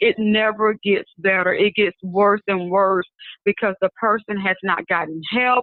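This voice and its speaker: A woman at a medium pitch with a Southern US accent, speaking at a moderate pace. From Mobile, Alabama. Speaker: prophetess and minister. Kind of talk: interview answer.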